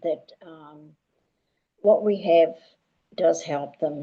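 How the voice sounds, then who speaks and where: A woman with an Australian accent speaks very slowly in a dark, mellow tone with a fairly low pitch. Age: 80s+. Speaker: retired care worker. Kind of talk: testimony. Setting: group call. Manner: halting.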